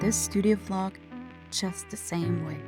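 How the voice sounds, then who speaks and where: Music plays behind a woman speaking at a moderate pace in a Swiss accent. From Switzerland. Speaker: artist. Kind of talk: casual talk to camera.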